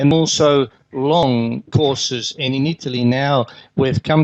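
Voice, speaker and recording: A man speaks with an Australian accent. His intonation is fairly even. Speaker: conference speaker, healthcare manager. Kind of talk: conference keynote talk. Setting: conference stage with audience.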